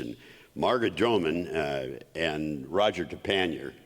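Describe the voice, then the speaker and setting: His voice has vocal fry. This man's pitch rises and falls normally. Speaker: mayor. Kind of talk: public remarks at a talk. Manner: halting, many fillers.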